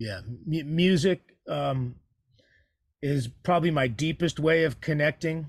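Speaking with an American accent, a man with a fairly high pitch and a somewhat breathy voice talks at a fairly slow pace, leaving long, frequent pauses, with ordinary pitch variation. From San Francisco Bay Area, California. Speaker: musician. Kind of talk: interview. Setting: video call.

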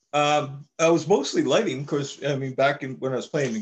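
A man speaks in a Maritime Canadian accent. His pitch is fairly high and his pace moderate. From Saint John, New Brunswick, Canada. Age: 50s. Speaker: drummer. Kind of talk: casual chat.

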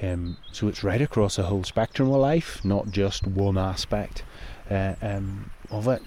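In a Northern Irish accent, a man speaks at a fairly slow pace in a fairly low pitch, his dark, mellow tone set to fairly even intonation. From Northern Ireland. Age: 50s. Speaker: mental health campaigner, former paramedic. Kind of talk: interview.

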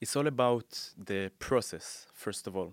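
This man speaks at a moderate pace with ordinary pitch variation. The recording is very clean with a silent background, dry and close with no echo. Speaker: UX and graphic designer, course creator. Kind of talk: interview.

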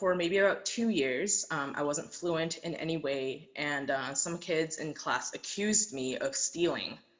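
A woman with a Canadian accent speaks fairly slowly in a fairly low voice, with lively intonation and hardly any pauses. Noticeable background noise sits behind her. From Taiwan, moved to Canada as a child. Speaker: welder. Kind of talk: interview.

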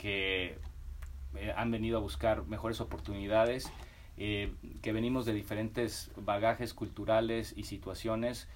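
Speaking at a fairly slow pace, a man uses a medium pitch. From Mexico, Guadalajara and Mexico City. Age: 40s. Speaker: food products entrepreneur. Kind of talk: casual interview.

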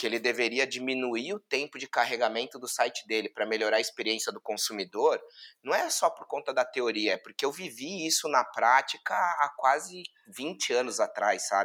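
At a moderate pace, a man speaks at a medium pitch in a bright, sharp tone. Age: 30s. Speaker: digital marketing executive. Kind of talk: casual chat.

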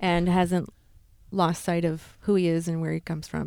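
A woman's fairly low, dark, mellow voice at a moderate pace, with fairly even intonation. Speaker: Broadway actress. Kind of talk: casual chat.

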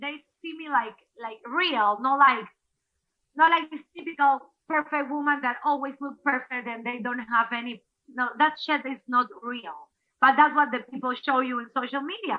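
In a Spanish accent, a woman speaks at a moderate pace with high pitch, ordinary pitch variation and big swings in loudness. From Ecuador. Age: 40s. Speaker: former TV anchor and athlete. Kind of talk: casual interview. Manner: halting.

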